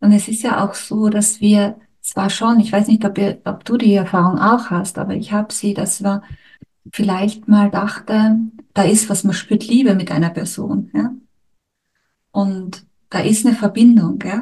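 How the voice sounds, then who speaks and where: A woman speaks in a dark, mellow, somewhat breathy tone with monotone, flat intonation. Long, frequent pauses punctuate her speech. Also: medium pitch for a woman, fairly slow pace. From Austria, Styria. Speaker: podcast host, couples therapist. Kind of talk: casual chat.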